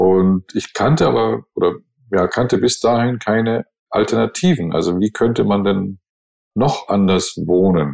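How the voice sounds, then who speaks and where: This is a man speaking at a fairly slow pace. His loudness stays very even. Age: 60s. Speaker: podcast co-host, advertising agency owner. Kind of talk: casual chat.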